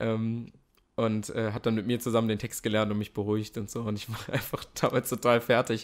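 On a very clean recording with a silent background, a man speaks in a medium pitch with monotone, flat intonation. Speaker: actor. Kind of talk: interview. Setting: host's home.

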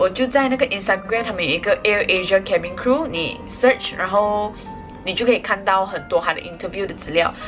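Clear music sits in the background. The speech shows ordinary pitch variation. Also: woman. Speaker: vlogger. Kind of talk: casual vlog chat. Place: home room. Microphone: phone near.

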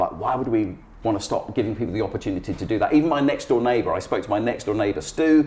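The man's intonation is lively throughout. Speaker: guest. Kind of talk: interview answer. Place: home room.

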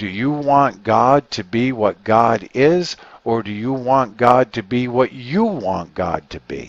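At a slow pace and with lively intonation, a man speaks at a medium pitch with vocal fry, the sound dry and close with no echo.

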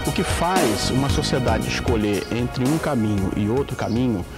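Noticeable background noise runs behind the recording. A man talks with ordinary pitch variation. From Porto Alegre, Rio Grande do Sul, Brazil. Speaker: environmental activist and editor. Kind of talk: interview answer. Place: garden.

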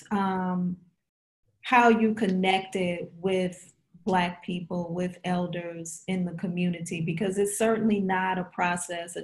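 A somewhat breathy woman's voice, medium in pitch, at a very slow pace. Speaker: professor and interviewer. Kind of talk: oral history interview.

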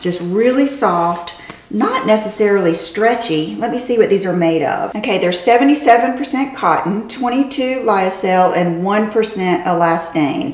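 Lively intonation marks this very slow-paced speech, heard with audible room echo. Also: woman. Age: 50s. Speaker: fashion and beauty vlogger; beauty vlogger. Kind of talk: casual haul video talk to camera. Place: home room.

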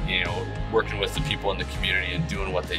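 Clear music plays behind a man who is talking. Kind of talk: casual promotional commentary. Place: car.

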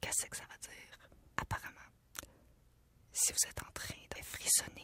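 A woman is whispering. Her pace is fairly slow. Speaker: news channel journalist. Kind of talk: casual talk to camera. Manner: whispered, soft-spoken. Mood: playful, slightly uneasy. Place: studio. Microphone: studio mic.

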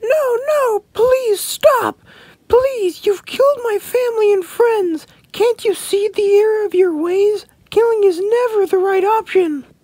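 The voice has an extremely high pitch. The pace is fairly slow. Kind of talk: amateur comic voice acting. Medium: machinima. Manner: pleading, moralizing.

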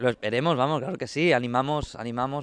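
A man speaking at a fairly quick pace with fairly even intonation, the sound dry with no echo. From Tarragona, Catalonia; Catalonia. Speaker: flamenco dancer and festival artistic director. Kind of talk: interview. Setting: outdoors. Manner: halting. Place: street. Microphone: handheld.

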